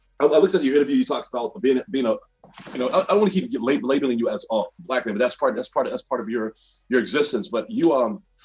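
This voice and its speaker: A fairly high-pitched man's voice with an American accent, at a very fast pace and with very wide pitch swings, over music in the background. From US South, Birmingham, Alabama. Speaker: podcast host. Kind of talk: casual interview. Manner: halting, many repetitions.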